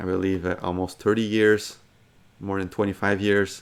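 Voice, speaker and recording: In a French accent, a man speaks at a fairly low pitch. His intonation is monotone and flat. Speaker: gaming commentator. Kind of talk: casual commentary. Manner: halting, with many fillers and restarts.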